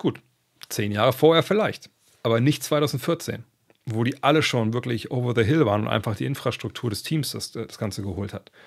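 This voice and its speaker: Over a quiet background, a man at a medium pitch speaks at a moderate pace with ordinary pitch variation. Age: 50s. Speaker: basketball podcast host. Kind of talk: casual podcast monologue answering listener questions. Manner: conversational with many fillers. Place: home room. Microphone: studio mic.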